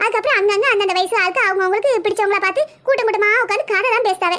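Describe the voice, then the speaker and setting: A woman performs a cartoonish character voice at an extremely high pitch. She goes at a very fast pace with ordinary pitch variation. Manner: chatty, practical, rural colloquial.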